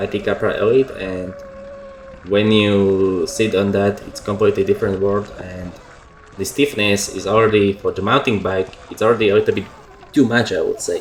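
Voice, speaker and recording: Over noticeable background noise, a man with a non-native accent speaks at a moderate pace. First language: not English. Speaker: motorbike YouTuber. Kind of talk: voiceover commentary. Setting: at home. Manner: halting.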